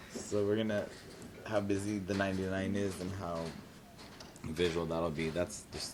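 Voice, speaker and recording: A man with an American accent speaks in a very deep, low, flat monotone amid audible room echo and noticeable background noise. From California Central Valley, Tulare area. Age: 30s. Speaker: drag performer. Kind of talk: oral history interview. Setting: university library.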